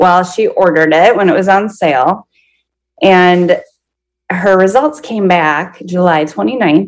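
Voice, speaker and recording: A woman speaks in an ordinary speaking voice, her medium pitch carried by lively intonation. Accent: American. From Minnesota. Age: 30s. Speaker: podcast guest sharing her story. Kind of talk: personal testimony in an interview.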